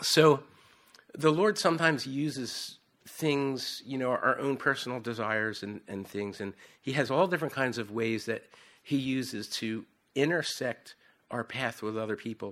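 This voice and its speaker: With an American accent and ordinary pitch variation, the speaker goes at a moderate pace with long, frequent pauses, on a very clean recording with a silent background. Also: man, medium pitch for a man. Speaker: missionary preacher. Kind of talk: sermon. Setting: church. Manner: halting.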